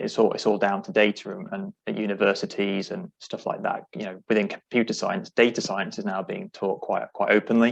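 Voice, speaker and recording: A man talks at a fairly quick pace with hardly any pauses, his loudness swinging widely. Music plays in the background. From UK. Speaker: industry tech company representative. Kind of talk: webinar panel discussion.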